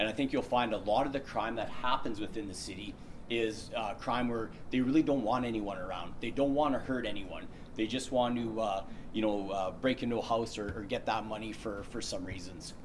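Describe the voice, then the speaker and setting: Audible room echo surrounds a man at medium pitch with a Canadian accent, speaking at a fairly quick pace with fairly even intonation. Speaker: workplace safety trainer. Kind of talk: safety training presentation. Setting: presentation room, recorded on camera. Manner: fast.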